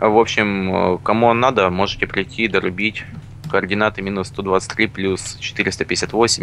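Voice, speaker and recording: A man is speaking. His pitch is fairly low. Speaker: gaming channel co-host.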